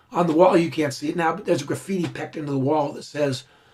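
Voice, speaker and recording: Against noticeable background noise, a man speaks fairly quickly at a fairly high pitch, his intonation fairly even. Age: 50s. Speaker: visual effects supervisor. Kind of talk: commentary track.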